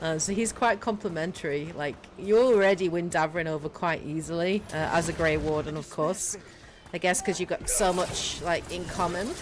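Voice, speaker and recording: A woman's fairly low voice with a British accent, ordinary pitch variation and a moderate pace. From Britain. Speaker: gaming streamer. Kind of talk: casual live stream commentary. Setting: livestream.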